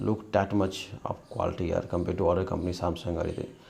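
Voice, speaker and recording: Moderate pace over noticeable background noise. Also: man. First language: not English. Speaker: tech YouTuber. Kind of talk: product review and troubleshooting video. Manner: halting, many fillers.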